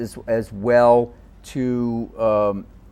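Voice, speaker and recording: With a New York accent, a man talks at a medium pitch. His intonation is monotone and flat. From New York, Queens. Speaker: policy advocate. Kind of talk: interview.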